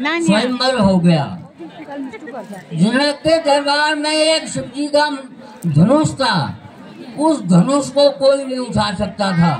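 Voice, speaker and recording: Lively intonation carries over crowd noise in the background. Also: man. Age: 80s+. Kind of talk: religious storytelling.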